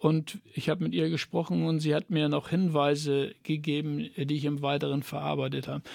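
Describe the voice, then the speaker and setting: Here a man speaks at a moderate pace with a fairly high pitch. He leaves hardly any pauses. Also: ordinary pitch variation. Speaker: author and former teacher. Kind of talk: radio interview. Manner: halting, many fillers.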